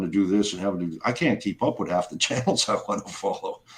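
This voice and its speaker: A man's fairly low-pitched, fairly quick delivery in a plain, everyday voice. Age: 60s. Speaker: live stream host. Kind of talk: casual chat.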